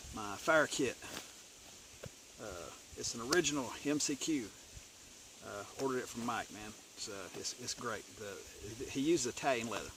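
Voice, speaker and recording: Against noticeable background noise, a man speaks with ordinary pitch variation and long, frequent pauses. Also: medium pitch for a man, moderate pace, big swings in loudness. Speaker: bushcraft gear reviewer. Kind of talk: gear review video. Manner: stuttering; casual, halting with fillers.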